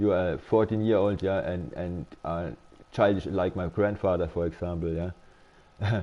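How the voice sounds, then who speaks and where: Someone with a German accent talks at a moderate pace with ordinary pitch variation. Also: man. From Germany. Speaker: game streamer. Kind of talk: casual live-stream chat. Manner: halting, many repetitions and fillers.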